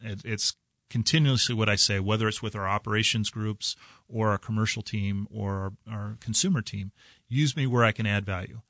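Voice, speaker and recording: In a Midwestern US accent, a man talks at a moderate pace with fairly low pitch and fairly even intonation. The sound is dry and close with no echo, over a quiet background. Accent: US Midwest. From southwest Kansas, US. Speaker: bank executive. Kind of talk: radio interview. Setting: radio studio.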